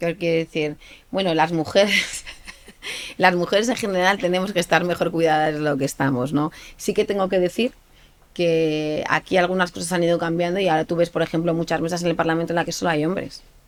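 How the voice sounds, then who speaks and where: This woman's voice sits at a fairly low pitch, and her intonation stays fairly even. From Spain, Aragon. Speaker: politician. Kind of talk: interview. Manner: hesitant, many fillers and repeats.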